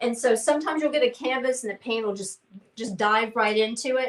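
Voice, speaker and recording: Her pitch is fairly high for a woman. She uses ordinary pitch variation. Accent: Southern US. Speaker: painting class instructor. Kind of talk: live painting tutorial; casual chat. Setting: livestream. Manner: halting, many fillers.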